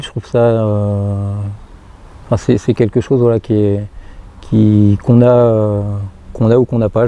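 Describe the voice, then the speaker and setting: Noticeable background noise sits behind the voice. A man speaks at a medium pitch with monotone, flat intonation. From northeastern France, Marne / Seine-et-Marne. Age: 40s. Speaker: firefighter. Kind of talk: personal testimony interview. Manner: halting, many hesitations and repetitions.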